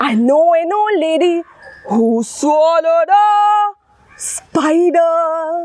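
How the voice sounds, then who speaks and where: A woman at an extremely high pitch, very slow, with lively intonation and a dry sound with no echo. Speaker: teacher. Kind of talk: storytelling rhyme performance for children. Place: garden.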